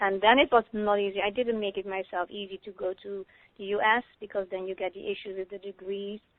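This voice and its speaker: Fairly quick female speech at medium pitch, monotone and flat, with big swings in loudness. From Netherlands. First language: Dutch. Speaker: psychotherapist. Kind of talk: interview. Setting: phone call. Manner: fast.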